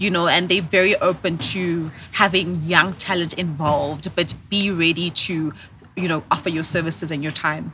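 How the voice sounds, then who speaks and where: With a South African accent, a woman speaks in a fairly low, bright and sharp voice with flat, monotone intonation over light background noise. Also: moderate pace. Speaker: corporate professional and entrepreneur. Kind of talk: casual interview. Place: garden. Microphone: studio mic.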